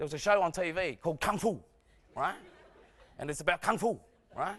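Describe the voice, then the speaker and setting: In an Australian accent, a man projects a raised voice with a bright, sharp tone, an animated delivery and lively intonation at a moderate pace, recorded very cleanly against a silent background. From Australia, arrived from Vietnam at nine. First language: Vietnamese. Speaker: comedian. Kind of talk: stand-up. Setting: stage with audience.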